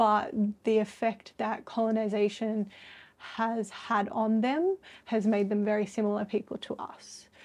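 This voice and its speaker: With an Australian accent, a woman speaks at a fairly slow pace and a fairly high pitch, her intonation monotone and flat, in a very clean recording with a silent background. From Australia, Sydney. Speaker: artist. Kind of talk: interview conversation. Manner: hesitant, many filler words.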